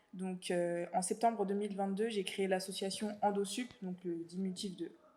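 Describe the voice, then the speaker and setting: A woman's voice has a dark, mellow tone. She speaks in a monotone, flat intonation. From France, Paris suburbs (Val-de-Marne). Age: 20s. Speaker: student and association founder. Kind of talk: interview testimony. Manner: casual, many fillers.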